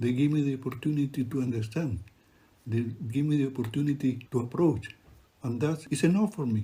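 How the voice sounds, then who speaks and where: A man's somewhat breathy voice, dark and mellow, medium in pitch with ordinary variation, at a fairly quick pace. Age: 70s. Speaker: refugee photographer and poet. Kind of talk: narrated exhibition talk.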